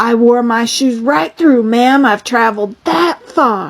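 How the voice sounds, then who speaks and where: Doing a put-on character voice, a woman speaks at a fairly high pitch and a fairly slow pace, with ordinary pitch variation and very even loudness. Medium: read story. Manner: polite, brisk.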